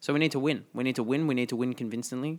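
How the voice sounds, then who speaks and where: A man with an Australian accent and a medium pitch, on a very clean recording with a silent background. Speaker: football podcast co-host. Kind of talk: casual chat.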